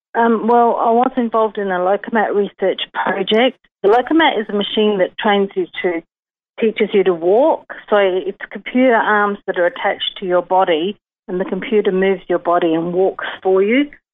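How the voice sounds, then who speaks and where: A woman speaks with a normal speaking voice at medium pitch. Her pace is moderate, with ordinary pitch variation. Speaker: stroke survivor. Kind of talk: personal testimony. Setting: phone call.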